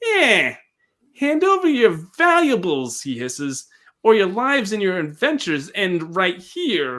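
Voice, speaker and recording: In a put-on character voice, a man speaks at a moderate pace with a high pitch, very wide pitch swings and audible hissing. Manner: hissing, threatening, greasy.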